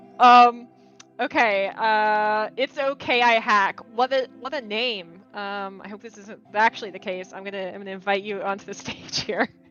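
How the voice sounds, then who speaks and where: With music in the background, a woman speaks at a moderate pace in a fairly high pitch, her loudness swinging widely. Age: 30s. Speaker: game developer community manager. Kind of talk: live Q&A chat. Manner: animated, friendly.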